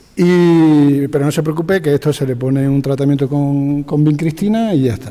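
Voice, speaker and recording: A man talks at a fairly slow pace in a plain, everyday voice. His pitch sits fairly high. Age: 60s. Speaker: veterinarian. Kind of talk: anecdote in panel discussion.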